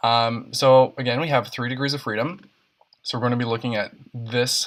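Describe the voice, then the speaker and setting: A man at medium pitch and moderate pace, his intonation fairly even. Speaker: science tutor. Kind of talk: tutorial. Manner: casual, with filler words.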